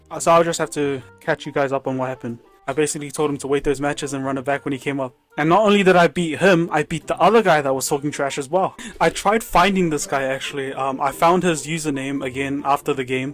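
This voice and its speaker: A man speaks at a very fast pace with a fairly high pitch and ordinary pitch variation. Noticeable background noise runs underneath. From New Zealand. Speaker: gaming YouTuber. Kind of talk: casual commentary.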